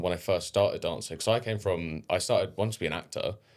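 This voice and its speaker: Over a silent background in a very clean recording, a man speaks with a southern English accent. His delivery is very fast and animated. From England. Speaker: dancer. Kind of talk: casual chat.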